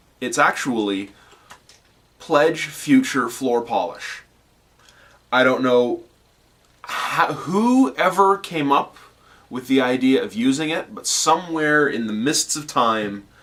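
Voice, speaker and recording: A man speaks at a very slow pace with lively intonation. He leaves long, frequent pauses. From Canada. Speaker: scale model hobbyist video host. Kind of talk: tutorial. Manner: casual with many fillers and hesitations.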